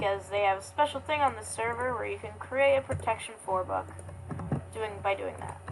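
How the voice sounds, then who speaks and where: Over noticeable background noise, a soft-spoken woman talks at a fairly quick pace. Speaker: gaming youtuber. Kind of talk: gameplay commentary. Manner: halting.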